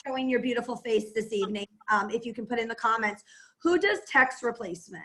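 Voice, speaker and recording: A woman with an American accent, a high pitch and a bright, sharp tone. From Massachusetts, Boston area (Plymouth). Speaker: entrepreneur and network marketer. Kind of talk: team call talk and how-to. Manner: fast.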